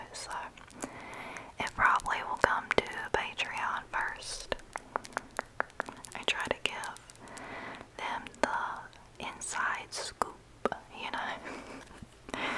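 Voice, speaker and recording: Over noticeable background noise, a woman whispers with an American accent at a very slow pace, leaving long, frequent pauses. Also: big swings in loudness. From North Carolina. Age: 20s. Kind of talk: ASMR vlog voiceover. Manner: whispered.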